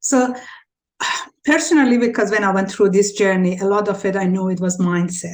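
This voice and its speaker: At a moderate pace, a woman with a non-native accent speaks at a medium pitch with fairly even intonation. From Iran. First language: Farsi. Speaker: podcast host. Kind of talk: interview.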